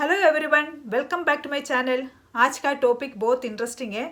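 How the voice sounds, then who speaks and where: A woman talks at a moderate pace in a non-native accent. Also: very clean recording, silent background. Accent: non-native Hindi. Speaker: vlogger. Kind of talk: casual vlog talk. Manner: hesitant with fillers.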